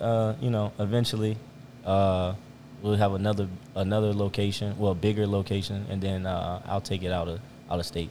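Fairly quick speech from a man, fairly low-pitched with a dark, mellow tone and fairly even intonation. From Richmond, Virginia. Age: 20s. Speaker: entrepreneur and restaurant owner. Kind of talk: casual interview. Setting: in a restaurant.

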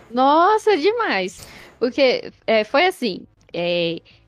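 A woman's voice comes through dry and close with no echo, with music in the background. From Brazil, Minas Gerais (Betim, Belo Horizonte area). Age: 20s. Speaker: gamer. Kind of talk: casual interview. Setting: live stream.

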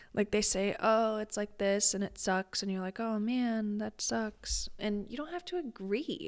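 With an American accent, a woman speaks at a fairly slow pace, barely pausing, and her pitch varies in an ordinary way. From US Midwest. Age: 30s. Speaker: business coach and podcast host. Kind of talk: solo podcast monologue. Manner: casual, conversational.

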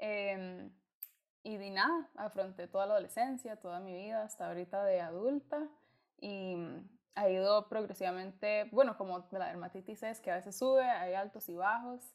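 A woman with a Costa Rican accent at a moderate pace, medium in pitch, with ordinary pitch variation and big swings in loudness. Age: 20s. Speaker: student and skin-condition blogger. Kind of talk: casual chat.

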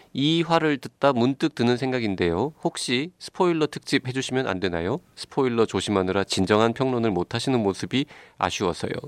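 A man with an ordinary speaking voice, medium in pitch, speaks at a fairly quick pace with lively intonation, the sound dry and close with no echo. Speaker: podcast host. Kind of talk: casual chat.

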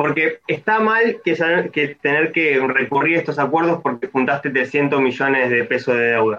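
An unremarkable speaking voice at a fairly slow pace, with hardly any pauses and very even loudness. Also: man, fairly high pitch for a man, ordinary pitch variation. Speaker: economist. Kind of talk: casual chat. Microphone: bad internet connection.

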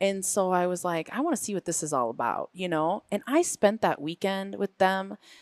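In a very clean recording with a silent background and a dry, close sound with no echo, a woman with an ordinary speaking voice, medium pitch, and an American accent talks at a moderate pace with lively intonation and hardly any pauses. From Green Bay, Wisconsin. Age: 40s. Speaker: fitness and yoga coach. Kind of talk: casual interview. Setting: studio at a gym.

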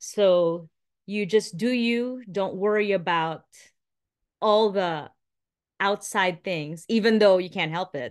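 A woman with a Filipino accent, medium in pitch with ordinary pitch variation, very slow, with long, frequent pauses, over a quiet background. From Philippines, Metro Manila. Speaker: former radio and TV presenter, mother. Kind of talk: casual interview.

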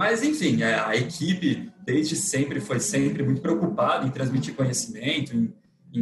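A man at a fairly high pitch, moderate pace and lively intonation, with noticeable background noise. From interior of São Paulo state, Brazil. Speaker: lawyer. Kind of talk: interview. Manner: hesitant, frequent repetitions.

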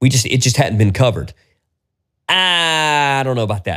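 At a moderate pace and medium pitch, a man sounds animated, with a bright, sharp tone and lively intonation. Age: 40s. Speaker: podcaster. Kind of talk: solo rant.

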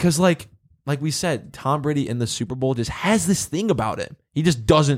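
In an ordinary speaking voice, a man talks at a moderate pace in a fairly high pitch with ordinary pitch variation. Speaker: sports podcast host. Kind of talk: casual banter.

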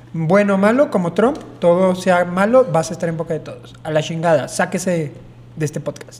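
Noticeable background noise accompanies a man speaking at a high pitch with ordinary pitch variation. His pace is moderate, and his loudness swings widely. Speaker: podcast co-host. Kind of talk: casual chat.

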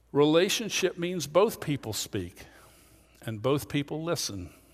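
Speaking with an American accent and lively intonation, a man with an unremarkable speaking voice is heard in a very clean recording with a silent background. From Pennsylvania, Lancaster County. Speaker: pastor. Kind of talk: sermon.

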